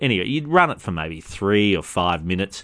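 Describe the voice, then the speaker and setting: His intonation stays lively. The man speaks in an Australian accent. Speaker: podcast host. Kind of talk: monologue commentary. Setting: recorded at a party.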